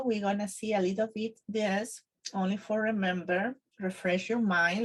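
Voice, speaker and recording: With a Spanish accent, a woman speaks in a somewhat breathy voice at a moderate pace and fairly high pitch. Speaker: Spanish teacher. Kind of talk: tutorial. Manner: halting, with fillers.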